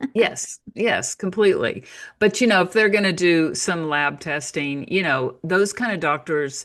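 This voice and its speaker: A woman's normal speaking voice with an American accent, fairly low in pitch, with lively intonation, a fairly slow pace and a quiet background. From United States. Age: 60s. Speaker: naturopath and author. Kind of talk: interview.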